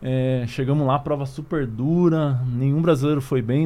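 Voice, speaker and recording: Noticeable background noise accompanies a man with a fairly high pitch. He talks at a moderate pace with ordinary pitch variation. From Curitiba, southern Brazil. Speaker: former Olympic triathlete, youth sports project leader. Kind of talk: casual interview.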